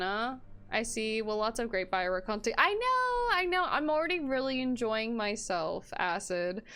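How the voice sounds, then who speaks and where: Noticeable background noise behind a woman's fairly high voice, with very wide pitch swings, a moderate pace and hardly any pauses. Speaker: game streamer. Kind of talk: casual chat. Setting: live stream.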